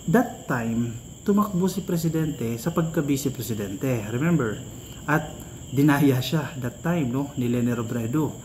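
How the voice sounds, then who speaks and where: Moderate pace and lively intonation amid audible room echo. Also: man. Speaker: political commentary vlogger. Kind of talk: political commentary vlog.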